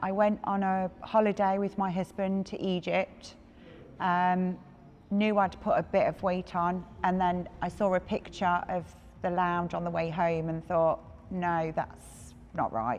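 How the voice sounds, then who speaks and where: Fairly slow and fairly even in intonation, a woman speaks at a medium pitch with a plain, everyday voice. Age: 40s. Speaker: gym member. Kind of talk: interview testimony.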